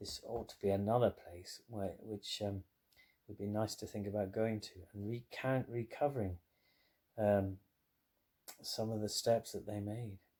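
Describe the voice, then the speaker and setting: Speaking at a fairly slow pace with long, frequent pauses, a man has a fairly low pitch, a dark, mellow tone, a somewhat breathy quality, monotone, flat intonation and big swings in loudness. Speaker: family member reading a grandmother's memoir aloud to their mother. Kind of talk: casual spoken aside.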